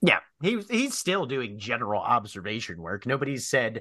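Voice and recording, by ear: A man speaks with big swings in pitch. His tone is fairly bright. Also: medium pitch for a man, moderate pace.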